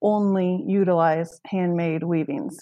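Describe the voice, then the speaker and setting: A dark, mellow tone with an American accent, fairly slow pace and fairly even intonation over a quiet background. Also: woman. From Redlands, California. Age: 30s. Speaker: small business founder. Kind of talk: casual interview. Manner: casual, many fillers.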